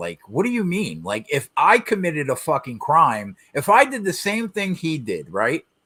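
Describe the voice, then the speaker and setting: With a New Jersey accent and a bright, sharp tone, the speaker's pitch swings very widely at a moderate pace on a very clean recording with a silent background. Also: man. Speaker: podcast co-host. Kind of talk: casual chat.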